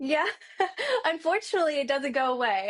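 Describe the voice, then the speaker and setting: Her voice is high-pitched with an animated tone. This woman speaks with a strong Southern US accent. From US South. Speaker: marketing agency owner. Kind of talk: podcast interview.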